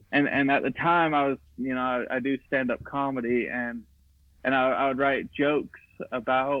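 At a moderate pace, a man uses an ordinary speaking voice with fairly high pitch and fairly even intonation. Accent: American. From Idaho. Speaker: filmmaker. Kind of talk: casual interview chat.

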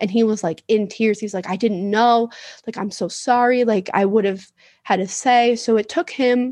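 Against a quiet background, a woman with an unremarkable speaking voice talks at a moderate pace and a fairly high pitch. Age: 20s. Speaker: podcast guest. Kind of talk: casual chat.

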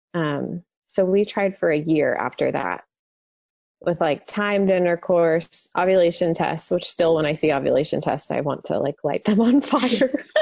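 Speaking in a normal speaking voice with an American accent, a woman talks at a fairly slow pace, her fairly low pitch carrying lively intonation. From Texas, Dallas-Fort Worth area. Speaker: mother sharing infertility story. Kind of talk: testimony.

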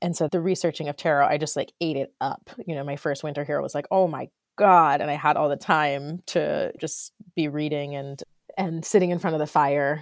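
Recorded very cleanly against a silent background with a dry, close sound and no echo, a woman with an American accent speaks at a moderate pace in a very deep, low pitch and a monotone, flat intonation. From Florida. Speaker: textile artist. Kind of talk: casual chat.

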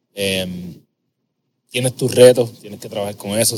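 A man's fairly low voice stays monotone and flat in intonation, moving at a moderate pace. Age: 30s. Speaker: podcast host, habits coach. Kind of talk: casual interview chat; scripted intro.

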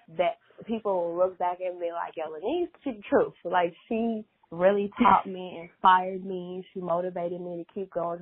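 A woman with an American accent speaks in an unremarkable speaking voice at medium pitch, her intonation fairly even and her pace fairly quick. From US Midwest, Chicago. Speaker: fashion designer. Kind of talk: interview.

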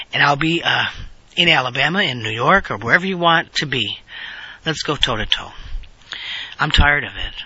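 Speaking at a fairly quick pace with ordinary pitch variation, a man uses a fairly high pitch. He leaves long, frequent pauses, and background noise is noticeable. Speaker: podcast host. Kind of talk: solo political commentary podcast. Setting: on the road. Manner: hesitant with frequent fillers.

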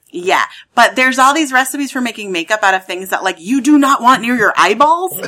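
With an American accent, a woman speaks at a fairly quick pace in a high pitch, her intonation lively. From US Midwest (Lawrence, Kansas). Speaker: maker and content creator. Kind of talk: casual chat.

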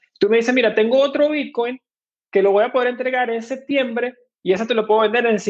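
The speaker is a man with a Venezuelan accent. He talks at a fairly quick pace. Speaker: fintech co-founder. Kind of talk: interview. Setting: live stream.

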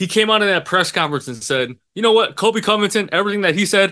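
A man's raised, projected voice, high and bright and sharp, with an American accent, lively intonation and a fairly quick pace against a quiet background. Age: 20s. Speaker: sports podcast co-host. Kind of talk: casual chat.

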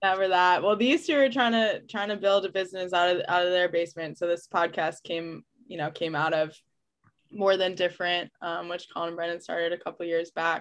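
The intonation stays fairly even in a plain, everyday voice. Delivery moves at a fairly quick pace. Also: woman, fairly low pitch for a woman. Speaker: podcast co-host. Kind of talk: casual chat.

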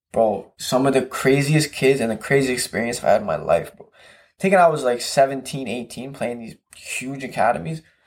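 This man has an unremarkable speaking voice, a medium pitch, ordinary pitch variation and a moderate pace. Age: 20s. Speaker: professional soccer player. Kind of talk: casual chat.

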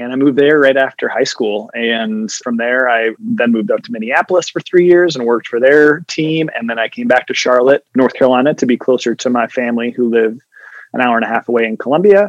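A man with an American accent talks fairly quickly in an ordinary speaking voice at a medium pitch, with ordinary pitch variation and a dry, close sound with no echo. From upstate New York. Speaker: event host and social media influencer. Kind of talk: casual interview.

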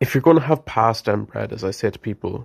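A man with an Irish accent speaks at a fairly quick pace and medium pitch. The recording is very clean, with a silent background. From Ireland. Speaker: listener call-in participant. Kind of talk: casual chat.

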